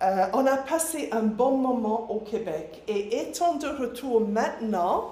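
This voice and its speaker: A woman with a slight English accent, fairly high-pitched, with lively intonation at a very slow pace, amid noticeable background noise and audible room echo. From England, Nottinghamshire. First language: English (speaking French). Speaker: missionary, ministry director. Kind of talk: church presentation.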